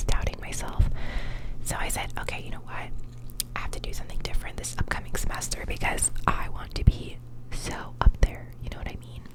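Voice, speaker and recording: There is noticeable background noise. Through it, a woman whispers at a fairly quick pace. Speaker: law student. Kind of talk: ASMR whispered rant. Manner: whispered, soft-spoken.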